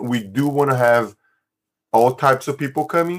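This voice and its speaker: A man with a non-native accent and a fairly high voice speaks at a moderate pace, his pitch varying in an ordinary way. The recording is very clean, with a silent background. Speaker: economics teacher and food-sharing organizer. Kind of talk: interview.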